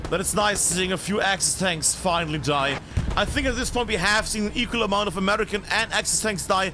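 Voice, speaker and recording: A man speaks in a raised, projected voice at a high pitch and fairly quick pace. His loudness stays very even over noticeable background noise. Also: ordinary pitch variation. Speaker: esports caster. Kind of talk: live commentary. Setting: live stream. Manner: animated.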